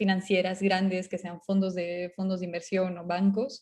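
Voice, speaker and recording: A woman speaks at a medium pitch in a monotone, flat delivery. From Bolivia. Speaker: startup co-founder. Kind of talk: talk to an audience. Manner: halting, many fillers.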